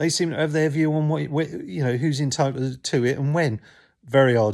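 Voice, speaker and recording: A man speaks in a southern English accent at a moderate pace. The recording is very clean, with a silent background. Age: 60s. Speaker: YouTuber sharing health experience. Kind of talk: casual talk to camera. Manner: halting, many fillers.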